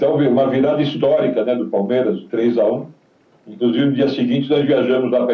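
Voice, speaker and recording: There is audible room echo. A man speaks at a fairly quick pace. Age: 70s. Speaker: retired footballer. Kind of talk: interview.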